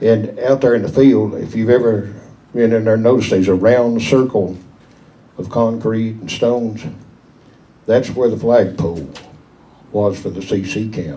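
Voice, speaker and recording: A man with a Southern Appalachian accent speaks with ordinary pitch variation and long, frequent pauses. Audible room echo and noticeable background noise fill the recording. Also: medium pitch for a man, moderate pace. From East Tennessee, Smoky Mountains. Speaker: local elder telling memories. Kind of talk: storytelling to an audience.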